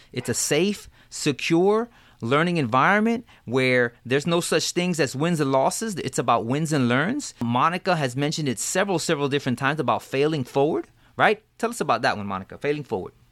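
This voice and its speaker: With lively intonation and a fairly quick pace, this man has an unremarkable speaking voice pitched fairly high. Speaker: podcast host. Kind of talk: casual podcast chat.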